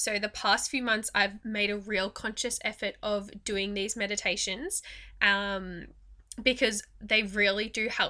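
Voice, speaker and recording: A bright, sharp tone carries an Australian accent at a fairly slow pace with fairly even intonation. The recording is very clean, with a silent background. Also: woman, medium pitch for a woman. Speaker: podcast host and mindset coach. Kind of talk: guided meditation. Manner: gentle, even pacing with pauses.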